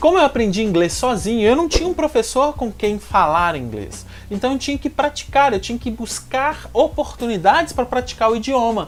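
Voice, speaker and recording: Over noticeable background noise, a man with a strong Minas Gerais accent talks at a moderate pace and an extremely high pitch, with very wide pitch swings. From Minas Gerais, Brazil. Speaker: language-learning youtuber. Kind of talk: tutorial.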